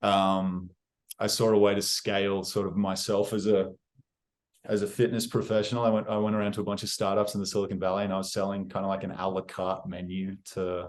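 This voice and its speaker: A man's fairly low, monotone, flat voice at a fairly quick pace, with an Australian accent. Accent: Australian accent, noticeable to others. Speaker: real estate agent. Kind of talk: interview. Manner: casual, with many fillers and restarts.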